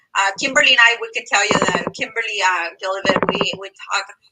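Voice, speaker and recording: A woman talks at a fairly quick pace with a Mexican accent. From Mexico, rural Zacatecas. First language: Spanish. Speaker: medical coder and teaching assistant. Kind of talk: live stream interview.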